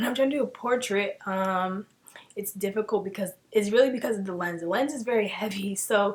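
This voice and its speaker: A soft-spoken woman talks at a medium pitch. Her pitch varies in an ordinary way. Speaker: beauty YouTuber. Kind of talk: tutorial. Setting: home filming room. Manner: casual, filler-heavy.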